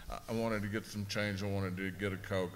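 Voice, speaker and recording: In a room with audible echo, a man speaks in a very deep, low pitch with monotone, flat intonation. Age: 60s. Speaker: abuse survivor panelist. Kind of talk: panel discussion testimony. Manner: halting.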